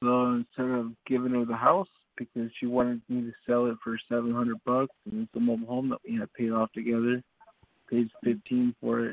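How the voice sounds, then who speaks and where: A man speaks at a moderate pace and a medium pitch in a plain, everyday voice with an American accent. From US West and Detroit. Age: 30s. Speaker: participant in a live audio chat room. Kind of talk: casual chat. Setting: online voice chat room.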